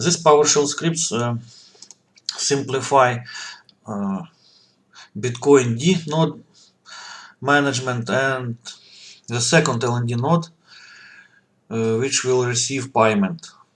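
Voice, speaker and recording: Delivery is at a very slow pace with long, frequent pauses and ordinary pitch variation. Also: man, medium pitch for a man. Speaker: software developer. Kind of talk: tutorial. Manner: halting, with many fillers.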